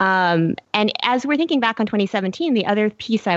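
A woman speaks at a fairly quick pace with ordinary pitch variation in a plain, everyday voice, the sound dry and close with no echo. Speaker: film fan guest. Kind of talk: casual chat.

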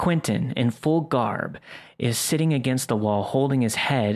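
The voice reads in an unforced way. It sounds like an unforced reading voice throughout.

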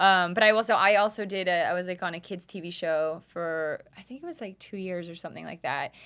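With a plain, everyday voice, a woman talks at a fairly quick pace with hardly any pauses, fairly even intonation and big swings in loudness. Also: medium pitch for a woman. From Canada, Calgary. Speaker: music producer. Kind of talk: casual chat. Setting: studio.

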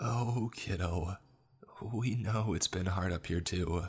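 A man slips into a put-on character voice, low and raspy with a slightly husky edge. He takes it at a slow pace. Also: ordinary pitch variation.

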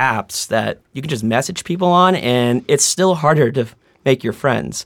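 A man speaks with an American accent in a normal speaking voice. His intonation is lively. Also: very clean recording, silent background. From Boston, Roslindale. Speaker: social group organizer. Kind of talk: casual chat.

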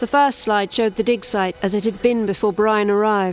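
A woman's fairly high voice comes through with music in the background. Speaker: story narrator. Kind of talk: scripted horror narration.

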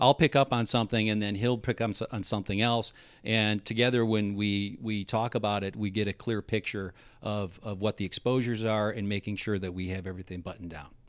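A man speaks with fairly even intonation in an ordinary speaking voice. The recording is very clean with a silent background, dry and close with no echo. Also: fairly low pitch for a man, fairly quick pace. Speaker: insurance agent. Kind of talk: casual interview chat. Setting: studio.

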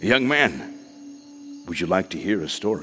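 A rumbling put-on character voice from a man, fairly low-pitched, at a moderate pace over clear background noise.

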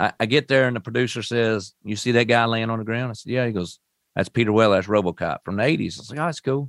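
In a Kentucky accent, the words come at a very fast pace with ordinary pitch variation, in a dry, close sound with no echo on a very clean recording with a silent background. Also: man, medium pitch for a man. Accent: Southern US, Kentucky. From Western Kentucky (Owensboro). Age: 40s. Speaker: amputee advocate. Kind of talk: interview storytelling. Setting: studio.

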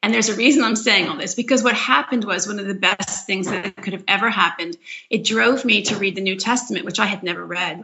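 Over noticeable background noise, a woman with an American accent talks at a very fast pace. She leaves hardly any pauses. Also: medium pitch for a woman, ordinary pitch variation. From Philadelphia, US. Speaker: author and mother of eight. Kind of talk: podcast interview.

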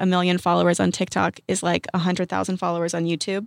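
A woman talks at a very fast pace with medium pitch. The recording is very clean, with a silent background and a dry, close sound with no echo. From US South, southeastern Virginia. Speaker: social media creator. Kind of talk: casual chat. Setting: studio.

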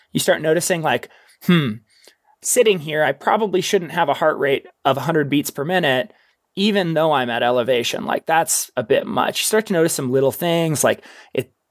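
In a very clean recording with a silent background and a dry, close sound with no echo, a man with a normal speaking voice talks fairly quickly at a fairly high pitch with lively intonation. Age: 30s. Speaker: ultrarunner and mountain adventurer. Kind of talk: casual interview.

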